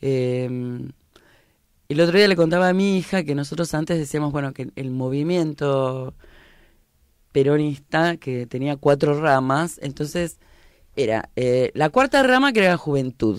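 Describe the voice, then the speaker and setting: A woman at a fairly slow pace, in a dry sound with no echo against a quiet background. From Argentina, La Plata; Argentina. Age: 50s. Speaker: political activist; guest. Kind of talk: radio interview. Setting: radio studio. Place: studio. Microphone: studio mic.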